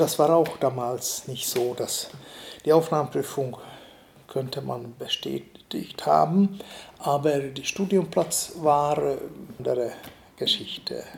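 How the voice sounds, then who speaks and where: A man's very slow speech in a Hungarian accent, broken by long, frequent pauses. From eastern Hungary. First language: Hungarian (speaking German). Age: 70s. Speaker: artist and art professor. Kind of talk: interview. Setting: artist's studio.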